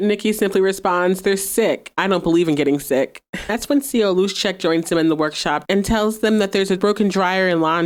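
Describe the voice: The pitch shows ordinary variation. It is plain reading aloud.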